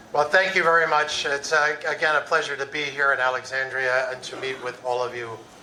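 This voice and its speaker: With hardly any pauses, a man talks at a fairly quick pace in a fairly high pitch and fairly even intonation, amid audible room echo and noticeable background noise. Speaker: conference keynote speaker. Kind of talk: conference talk. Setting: stage with audience.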